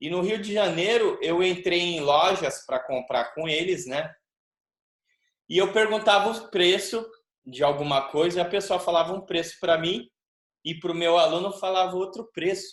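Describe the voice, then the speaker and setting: A man's voice sits high in pitch, moving at a moderate pace with ordinary pitch variation. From Brazil. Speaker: capoeira teacher, interviewer. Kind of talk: interview.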